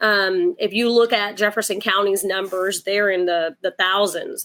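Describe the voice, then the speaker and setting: A woman with a Southern accent speaks at a medium pitch. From Port Arthur, Texas (born Puerto Rico). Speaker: domestic violence advocate. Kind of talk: interview. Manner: halting, many fillers.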